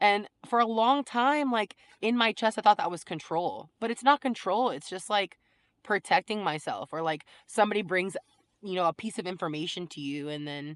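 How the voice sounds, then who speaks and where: A woman with a medium-pitched voice talks at a moderate pace with lively intonation and big swings in loudness. The sound is dry and close, with no echo. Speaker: faith vlogger. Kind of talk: casual monologue. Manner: casual, filler-heavy.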